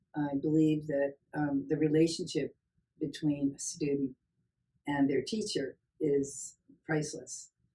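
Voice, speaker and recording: The tone is dark and mellow. The pace is fairly slow. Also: woman. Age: 70s. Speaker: nursing professor. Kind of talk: interview.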